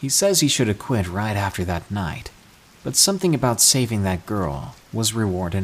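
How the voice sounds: The intonation rises and falls with liveliness. It is a natural reading voice.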